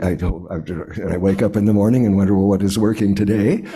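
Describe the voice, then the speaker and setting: A man speaks in a dark, mellow tone. Audible room echo surrounds his voice. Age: 80s+. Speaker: lay speaker at church service. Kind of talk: sermon. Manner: halting.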